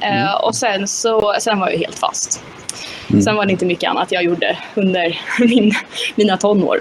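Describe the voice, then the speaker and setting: Over noticeable background noise, a woman speaks at a medium pitch and a moderate pace with fairly even intonation. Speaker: mental coach and former kart driver. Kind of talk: interview. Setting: live stream.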